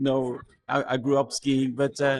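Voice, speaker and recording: The speaker is a man. He talks with a Norwegian accent. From Norway. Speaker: pastor. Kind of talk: interview testimony. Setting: cabin. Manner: halting, repeats words.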